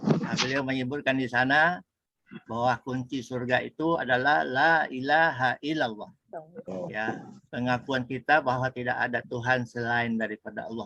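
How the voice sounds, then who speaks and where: The sound is dry and close, with no echo, as a man speaks at a moderate pace. His tone is bright and sharp, with ordinary pitch variation. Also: medium pitch for a man. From West Sumatra, Padang. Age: 60s. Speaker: religious lecturer, retiree. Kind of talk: religious talk with life story. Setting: religious study gathering. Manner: hesitant, with frequent fillers.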